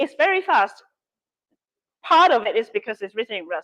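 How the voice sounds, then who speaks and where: With a Cantonese accent, a woman speaks at a fairly quick pace with lively intonation in a dry, close sound with no echo. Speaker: workshop instructor. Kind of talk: workshop Q&A.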